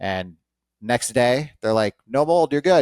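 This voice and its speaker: With an American accent and lively intonation, a man comes through a very clean recording with a silent background and a dry, close sound with no echo. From Las Vegas, US. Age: 40s. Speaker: mold inspector. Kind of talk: podcast interview. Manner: fast; animated.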